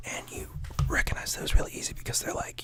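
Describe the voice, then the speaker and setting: Over noticeable background noise, a man whispers. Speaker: ASMR creator. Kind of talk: casual explanatory talk to camera. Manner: conversational, with filler words.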